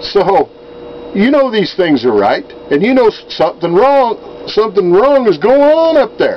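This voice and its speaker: A man with an American accent at a moderate pace and very even loudness, amid noticeable background noise. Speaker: write-in political candidate. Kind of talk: direct-to-camera video message. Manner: casual, folksy.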